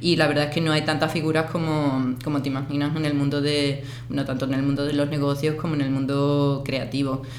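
Against noticeable background noise and audible room echo, a woman with a very deep, low pitch talks at a fairly quick pace in a monotone, flat way, hardly pausing. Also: very even loudness. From Andalusia, Spain (Seville, Cádiz). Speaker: photographer and artist. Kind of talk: interview. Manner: halting.

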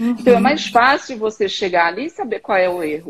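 Her voice is somewhat breathy. The woman speaks at a fairly high pitch. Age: 40s. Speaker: therapist and hypnotist. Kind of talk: casual chat on Instagram live. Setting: video call.

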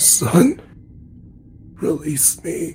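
A man talks in a high voice. Loud background noise is heard behind him.

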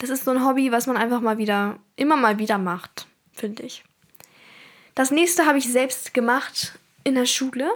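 Pausing long and often, a woman speaks at a high pitch. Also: ordinary pitch variation, moderate pace. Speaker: podcaster. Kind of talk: casual solo podcast monologue.

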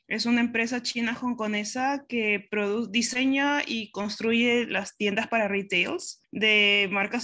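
A woman's bright, sharp voice at a very slow pace, fairly even intonation, on a very clean recording with a silent background. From Peru, Pisco. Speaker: operations director, industrial engineer. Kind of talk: interview.

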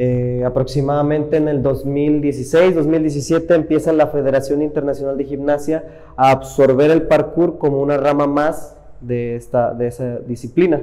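In a Mexican accent, a dark, mellow voice speaks fairly slowly with monotone, flat intonation. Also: man, fairly high pitch for a man. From Mexico, Iguala, Guerrero. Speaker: parkour athlete. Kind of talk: interview. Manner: halting.

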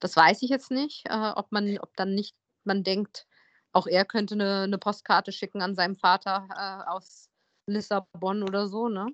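This plain, everyday voice keeps fairly even intonation at a moderate pace. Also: woman, medium pitch for a woman. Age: 40s. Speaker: podcast host. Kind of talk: casual chat.

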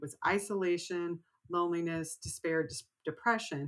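Here a woman speaks at a fairly low pitch with an American accent. Her pace is moderate and her pitch variation ordinary. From Texas. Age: 50s. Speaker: writer. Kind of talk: interview. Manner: animated.

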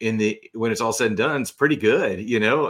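On a very clean recording with a silent background, a man with an unremarkable speaking voice talks at a fairly quick pace and a fairly low pitch. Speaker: co-author of a novel. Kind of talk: casual interview. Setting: live-streamed podcast.

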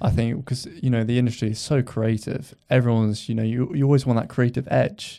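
With a southern English accent, the speaker moves at a fairly quick pace with hardly any pauses, using a dark, mellow tone and fairly even intonation on a very clean recording with a silent background. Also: man, medium pitch for a man. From Hampshire, southern England. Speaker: video editor. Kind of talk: casual chat. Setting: studio.

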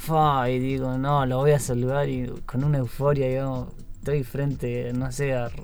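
A man speaks at a fairly slow pace in a medium pitch with a monotone, flat intonation, with audible room echo and music in the background. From Patagonia, Chubut, Argentina. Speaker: marathon runner. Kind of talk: interview. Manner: halting.

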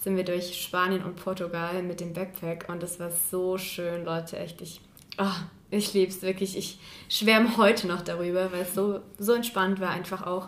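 In a room with audible echo, a woman speaks at a moderate pace in a flat, monotone way. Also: medium pitch for a woman. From Saxony, Chemnitz. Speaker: university student, podcast co-host. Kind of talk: casual chat.

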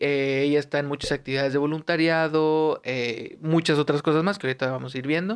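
Against a quiet background, a man with a fairly high pitch talks at a fairly quick pace. His intonation is fairly even, and he hardly pauses at all. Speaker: podcast host. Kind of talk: casual interview.

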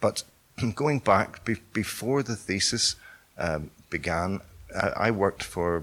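A man with a Northern Irish accent, a bright, sharp tone, and ordinary pitch variation. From Northern Ireland. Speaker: artist. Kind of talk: interview.

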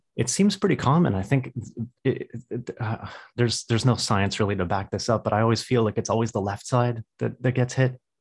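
In a very clean recording with a silent background and a dry, close sound with no echo, a man speaks fairly quickly and somewhat breathily. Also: medium pitch for a man, ordinary pitch variation. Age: 30s. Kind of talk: casual interview chat. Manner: halting, repeats words.

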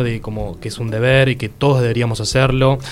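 The man speaks at a medium pitch and a fairly quick pace. Noticeable background noise is present. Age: 20s. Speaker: law student and volunteer co-host. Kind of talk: casual chat.

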